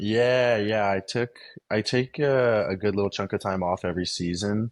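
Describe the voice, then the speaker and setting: A man with an American accent and a fairly low pitch, at a moderate pace with fairly even intonation, in a dry, close sound with no echo and a quiet background. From Texas, Houston. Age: 20s. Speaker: pro cyclist. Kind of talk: casual interview.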